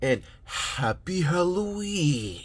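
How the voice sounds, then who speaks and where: A put-on character voice at middle pitch. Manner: spooky.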